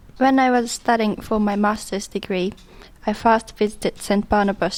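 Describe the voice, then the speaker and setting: In a Japanese accent, a woman speaks at a moderate pace with a medium pitch and monotone, flat intonation. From Japan, Kyushu. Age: 20s. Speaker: community worker. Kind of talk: documentary narration.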